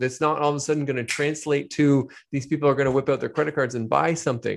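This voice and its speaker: Over a quiet background, a man talks at a fairly quick pace in a plain, everyday voice, fairly high in pitch. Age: 40s. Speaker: business coach. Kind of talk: interview.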